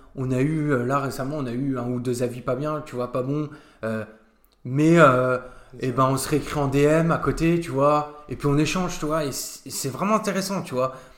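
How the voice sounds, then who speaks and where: His pitch sits fairly high and varies in an ordinary way. The man has a plain, everyday voice. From France, Nancy area (Lorraine). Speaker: restaurant co-owner. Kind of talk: casual interview chat.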